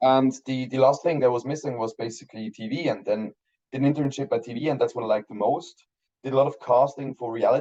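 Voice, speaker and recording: A man's dark, mellow voice with ordinary pitch variation. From Switzerland, Basel. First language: German. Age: 30s. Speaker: film director. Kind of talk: interview. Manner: halting.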